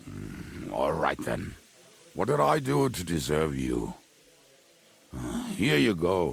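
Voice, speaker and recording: A man puts on a raspy character voice, pitched very deep and low, with very wide pitch swings. He talks at a fairly slow pace with long, frequent pauses. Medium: video game. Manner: jovial, laughing.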